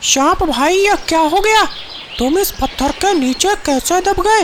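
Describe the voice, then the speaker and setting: An extremely high-pitched cartoonish character voice at a moderate pace, with clear background noise. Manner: gentle.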